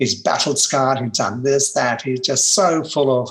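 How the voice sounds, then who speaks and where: With an Australian accent, someone talks at a moderate speed. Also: man. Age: 70s. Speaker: personal development trainer. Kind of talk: interview storytelling.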